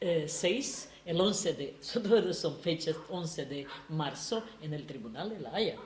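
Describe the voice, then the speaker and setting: Over noticeable background noise, a woman speaks very slowly at a fairly low pitch, with lively intonation and big swings in loudness. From Yugoslavia (Serbia). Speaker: activist. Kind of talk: talk to small audience. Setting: room with small live audience. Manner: halting, many fillers.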